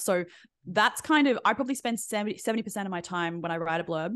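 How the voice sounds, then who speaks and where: A woman talks at a very fast pace in an Australian accent. Her intonation is lively, and the background is quiet. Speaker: book blurb coach. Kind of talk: interview.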